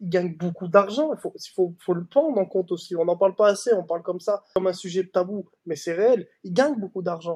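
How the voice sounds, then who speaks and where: The speech comes with hardly any pauses. Its pace is fairly quick. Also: man, high pitch for a man, ordinary pitch variation, dry, close sound with no echo. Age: young. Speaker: young footballer. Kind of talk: interview.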